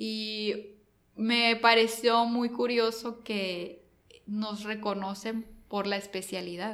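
A woman with a Mexican accent speaks very slowly at a fairly high pitch in a monotone, flat intonation. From coastal Mexico. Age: 30s. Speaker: cybersecurity company regional manager. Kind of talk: interview.

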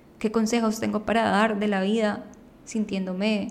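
A woman's fairly high-pitched voice at a fairly slow pace, with audible room echo. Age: 20s. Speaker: podcast host. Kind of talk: personal monologue. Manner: improvised.

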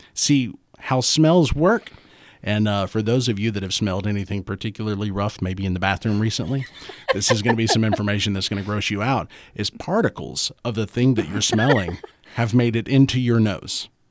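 Speaking fairly quickly, a man with an ordinary speaking voice keeps a fairly low pitch with ordinary pitch variation. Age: 30s. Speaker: podcast co-host. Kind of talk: casual chat; reading aloud.

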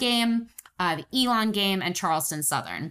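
In a very clean recording with a silent background, a woman talks at a fairly quick pace in a bright, sharp, animated tone with lively intonation. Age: 20s. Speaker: sports podcast co-host. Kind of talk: casual chat.

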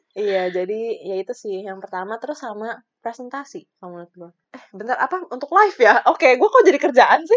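Animated and fairly quick, a woman's fairly high voice makes very wide pitch swings. Her loudness swings widely too. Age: 20s. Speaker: podcast co-host. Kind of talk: casual chat.

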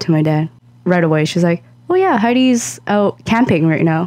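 Speaking at a moderate pace, a woman uses a plain, everyday voice with a fairly low pitch and lively intonation. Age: 20s. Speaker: podcast co-host. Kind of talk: casual chat.

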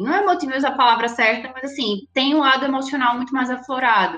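A woman speaks with a Recife accent in a high pitch. Music plays in the background. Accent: Recife (Pernambuco). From Recife, Pernambuco, Brazil. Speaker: project manager at an advertising agency. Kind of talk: podcast interview.

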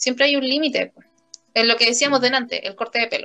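In a bright, sharp tone, a woman talks at a fairly quick pace. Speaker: language and literature teacher, podcast host. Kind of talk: casual conversation. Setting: empty classroom after school.

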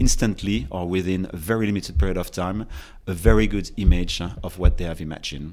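A man with a French accent and a very deep, low pitch, at a moderate pace with ordinary pitch variation. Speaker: fashion and design executive. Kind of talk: interview. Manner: halting.

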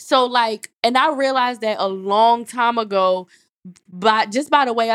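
Her pitch is fairly high, and this woman varies it in an ordinary way. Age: 30s. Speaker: podcast co-host. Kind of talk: casual chat.

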